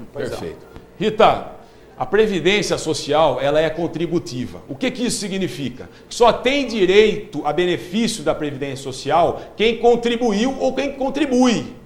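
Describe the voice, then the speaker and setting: Very wide pitch swings at a fairly slow pace. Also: man, high pitch for a man. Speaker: social security advisor. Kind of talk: live TV Q&A.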